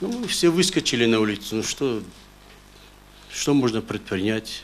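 Very wide pitch swings run through the speech, with light background noise behind it. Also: man. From North Ossetia, Russia. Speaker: court witness, father of a hostage; witness, father of a hostage. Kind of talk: court testimony. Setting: courtroom. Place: hall.

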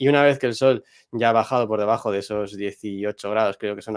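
Speaking with a Madrid accent, a man uses a fairly low pitch and fairly even intonation at a fairly quick pace, recorded dry with no echo against a quiet background. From Madrid, Spain. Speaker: astrophotographer. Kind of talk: tutorial. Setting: livestream. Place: home room. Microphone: video call.

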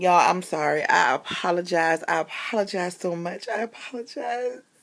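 In a put-on character voice, a woman speaks raspily at a medium pitch and a fairly slow pace. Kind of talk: casual vlog chat. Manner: apologetic. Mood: emotional, laughing and tearful.

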